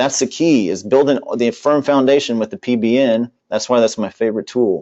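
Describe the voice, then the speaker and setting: A man's medium-pitched voice moves along at a moderate tempo. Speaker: internet marketer and company founder. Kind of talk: webinar sales pitch. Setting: webinar broadcast. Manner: loud; animated.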